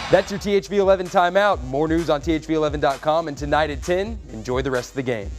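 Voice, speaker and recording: A man talking at a very fast pace over background music. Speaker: TV news reporter and anchor. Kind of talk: TV news reel.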